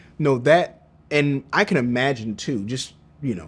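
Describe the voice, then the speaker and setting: Ordinary variation marks the pitch of this man's speech. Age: 40s. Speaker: podcast host. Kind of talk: interview conversation. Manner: animated.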